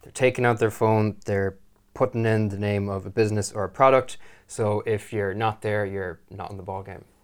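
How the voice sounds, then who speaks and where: Monotone, flat delivery in an Irish accent at a moderate pace, with big swings in loudness on a very clean recording with a silent background. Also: man, fairly low pitch for a man. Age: 20s. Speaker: web designer. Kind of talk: casual chat.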